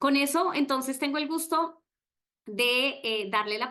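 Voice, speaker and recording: A woman's bright, sharp voice with lively intonation against a quiet background. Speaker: webinar moderator. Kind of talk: online presentation. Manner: hesitant, many fillers.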